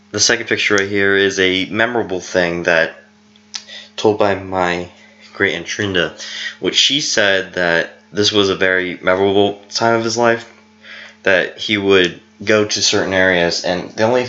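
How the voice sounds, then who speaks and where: A man speaks at a moderate pace in a fairly low, flat monotone, with music in the background. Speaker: family history vlogger. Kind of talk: unscripted presentation narration. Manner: halting, self-correcting.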